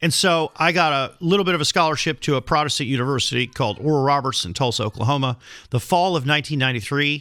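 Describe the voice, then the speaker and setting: The voice is bright and sharp, with ordinary pitch variation at a very fast pace. The recording is very clean with a silent background. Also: man, fairly high pitch for a man. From Netherlands, Rotterdam. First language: Dutch. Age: 50s. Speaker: podcast host and healthcare entrepreneur, ex-Marine. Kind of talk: interview.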